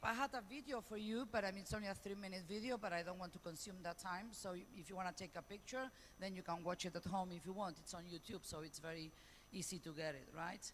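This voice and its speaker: A woman talks at a fairly quick pace with a Spanish accent. Her pitch is medium and her intonation lively. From Spain. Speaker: professor. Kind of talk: conference talk. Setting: conference panel. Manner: fast.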